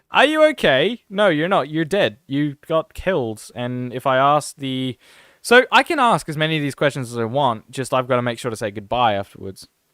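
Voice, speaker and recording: A man with an Australian accent and lively intonation, in a dry, close sound with no echo. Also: fairly high pitch for a man, moderate pace, very clean recording, silent background. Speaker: gaming streamer. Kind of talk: casual live-stream commentary. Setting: live stream.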